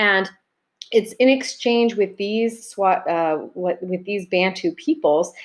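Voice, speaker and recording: A woman is speaking. Her pitch varies in an ordinary way over a quiet background. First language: Arabic. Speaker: high school teacher. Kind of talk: recorded video lecture. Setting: self-recorded video. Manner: casual, conversational.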